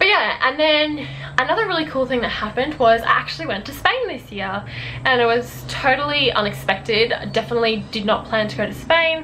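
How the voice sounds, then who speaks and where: A woman with an Australian accent speaks at a fairly quick pace. Room echo is audible, and background noise is noticeable. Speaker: YouTuber, university student. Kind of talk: casual chat to camera. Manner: fast.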